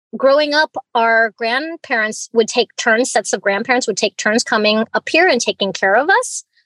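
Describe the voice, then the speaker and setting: The sound is dry and close with no echo. An American accent comes through with lively intonation at a moderate pace. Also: woman. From Alaska (Fairbanks), US. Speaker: tea grower and business founder. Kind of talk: interview. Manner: animated.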